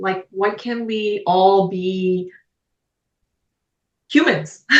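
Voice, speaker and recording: The speaker is a woman. Her pitch is medium. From Poland. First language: Polish. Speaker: podcast guest, podcaster. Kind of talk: casual interview chat.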